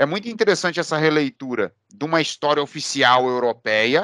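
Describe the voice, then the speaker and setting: The voice has a bright, sharp tone at a moderate pace. The sound is dry and close with no echo, on a very clean recording with a silent background. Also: man. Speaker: history teacher. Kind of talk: interviewer, casual conversation.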